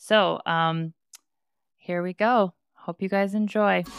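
A woman talks slowly in a clear, smooth tone with vocal fry. The sound is dry and close, with no echo. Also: medium pitch for a woman, fairly even intonation.

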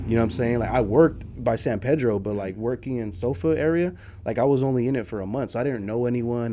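An unremarkable speaking voice from a man, fairly quick in pace with ordinary pitch variation. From San Jose, California (South side), Nicaraguan-American. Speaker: entrepreneur. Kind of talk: interview.

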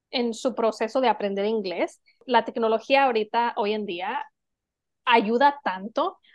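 High in pitch, a woman's voice moves with lively intonation. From Mexico. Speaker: podcast co-host. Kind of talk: casual chat.

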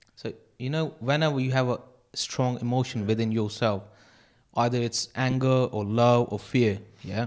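Using an unremarkable speaking voice, a man speaks at a moderate pace and medium pitch. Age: 20s. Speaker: podcast panelist. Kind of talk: casual chat.

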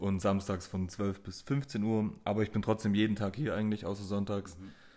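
A man talks in an ordinary speaking voice, fairly low in pitch, with fairly even intonation. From Swabia, Germany (Mössingen). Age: 20s. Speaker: tattoo artist. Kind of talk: casual chat. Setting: tattoo studio.

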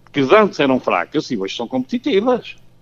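A man's voice with very wide pitch swings. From Portugal, Porto. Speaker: football coach. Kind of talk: radio interview. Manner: halting.

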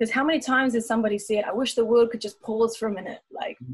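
This woman has a New Zealand accent and a fairly high pitch. Her pitch varies in an ordinary way. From New Zealand (Taupo). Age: 30s. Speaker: dancer and singer. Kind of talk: casual chat.

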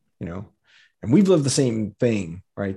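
Here is a man with a General American accent and a normal speaking voice at medium pitch. He talks at a fairly quick pace against a quiet background. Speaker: author and podcaster. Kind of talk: casual interview chat. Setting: Zoom video call.

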